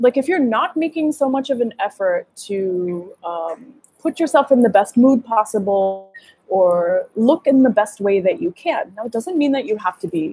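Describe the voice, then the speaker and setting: A woman with an American accent and a dark, mellow tone talks at a moderate pace, her pitch swinging very widely. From US, Gujarati American family. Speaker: dating coach. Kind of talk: livestream masterclass. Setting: live video stream. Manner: energetic, animated.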